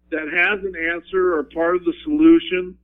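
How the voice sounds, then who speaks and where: A man in an Upper Midwest accent at a moderate pace. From Wyoming. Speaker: veteran and school teacher. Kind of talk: interview.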